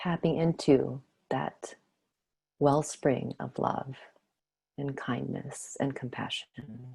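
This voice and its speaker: Very slow and calm, a woman speaks in a very deep, low pitch with a dark, mellow, soothing tone, vocal fry, fairly even intonation and long, frequent pauses. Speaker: meditation teacher. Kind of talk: guided meditation. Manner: slow, calm, soothing.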